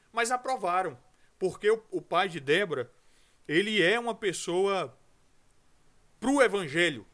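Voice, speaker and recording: With a high pitch and a bright, sharp tone, a man speaks with lively intonation. His pace is fairly slow, broken by long, frequent pauses. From Brazil, Rio de Janeiro. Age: 40s. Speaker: pastor. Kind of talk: podcast interview.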